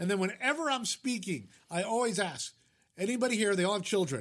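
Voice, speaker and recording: With an American accent, a man with a high pitch speaks at a fairly quick pace using lively intonation. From Fairfield, Connecticut, US Northeast. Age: 70. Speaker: music-industry commentator and writer. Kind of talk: interview.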